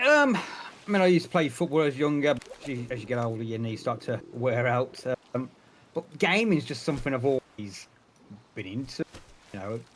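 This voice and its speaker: A man's medium-pitched voice in a Birmingham accent, with lively intonation, a moderate pace and long, frequent pauses. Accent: Birmingham (Brummie) English. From England, Birmingham. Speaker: streamer and retail manager. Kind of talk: casual interview. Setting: call.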